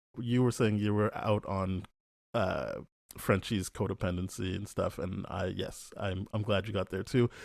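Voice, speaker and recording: In a very clean recording with a silent background, a man with a Canadian accent uses a normal speaking voice, fairly low in pitch, at a fairly slow pace with fairly even intonation. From Canada. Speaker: podcast co-host. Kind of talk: casual chat.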